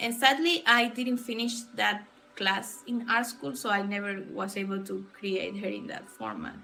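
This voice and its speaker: A woman with a Spanish accent speaks at a fairly slow pace and medium pitch, with ordinary pitch variation. Audible room echo and noticeable background noise surround her voice. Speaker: illustrator streamer. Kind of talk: casual livestream chat. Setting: livestream. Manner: halting.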